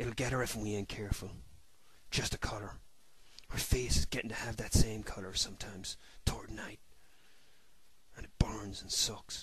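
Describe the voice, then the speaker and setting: Putting on a character voice, a man talks at a moderate pace in a raspy, fairly low register, leaving long, frequent pauses. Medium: read story. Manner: rustic dialect, broken and halting.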